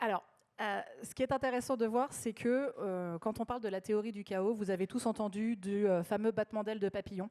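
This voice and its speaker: Very fast and with fairly even intonation, a woman speaks at a fairly high pitch in a dark, mellow tone, with a dry, close sound with no echo in a very clean recording with a silent background. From France. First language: French. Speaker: researcher. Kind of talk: panel talk.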